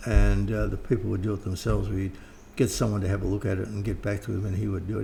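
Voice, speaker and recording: A man's fairly low voice, dark and mellow with vocal fry, moves at a very fast pace. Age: 70s. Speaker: occult author and teacher. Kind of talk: interview. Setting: at home.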